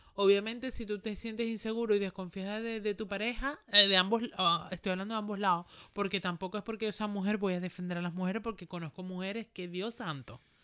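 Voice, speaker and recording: Bright and sharp in tone, a woman's medium-pitched voice moves at a very fast pace with hardly any pauses. Her intonation stays fairly even. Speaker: podcast co-host. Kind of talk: casual chat.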